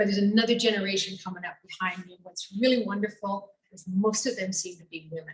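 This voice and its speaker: An ordinary speaking voice moves at a fairly quick pace. The intonation stays fairly even. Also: woman. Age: 60s. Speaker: radio foreign correspondent. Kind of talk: personal storytelling talk.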